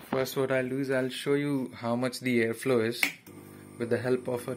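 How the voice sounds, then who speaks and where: At a fairly slow pace, a man speaks in a monotone, flat way amid noticeable background noise. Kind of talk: tutorial. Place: workshop. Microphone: phone near.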